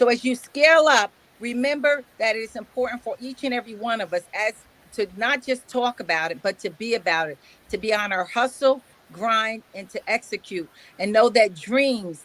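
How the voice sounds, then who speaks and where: At a moderate pace, a woman with a fairly high pitch speaks in a dry, close sound with no echo. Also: ordinary pitch variation. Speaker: summit host. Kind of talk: closing remarks to online audience. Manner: halting, many fillers.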